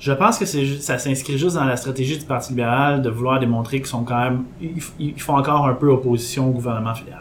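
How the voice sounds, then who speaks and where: A man talks with ordinary pitch variation, and the room echo is audible. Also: medium pitch for a man, fairly quick pace. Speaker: podcast columnist. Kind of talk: casual chat.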